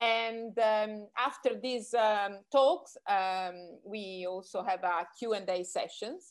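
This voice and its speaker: A woman with an Italian accent, fairly high-pitched, at a very slow pace with hardly any pauses, on a very clean recording with a silent background. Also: ordinary pitch variation. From Italy. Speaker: magazine founder and editor. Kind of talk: interview. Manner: halting.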